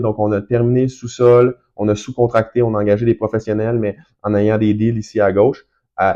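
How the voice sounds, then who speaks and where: Man with a Quebec accent, medium pitch and a dark, mellow tone, at a fairly quick pace against a quiet background. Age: 30s. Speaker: real estate investor and broker. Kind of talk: casual tutorial. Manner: fast; hesitant, many fillers.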